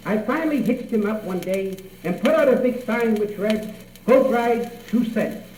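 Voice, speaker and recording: A man with an American accent speaks at a moderate pace in a high pitch. His pitch varies in an ordinary way over noticeable background noise. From Cape Cod, Massachusetts. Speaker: storyteller. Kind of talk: radio tall tale telling. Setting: radio studio.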